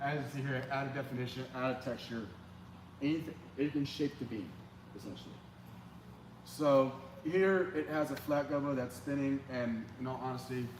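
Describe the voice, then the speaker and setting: Speech with fairly even intonation has long, frequent pauses. Audible room echo surrounds it. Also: man, medium pitch for a man. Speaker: church lighting technician. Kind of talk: training session. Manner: fast; casual.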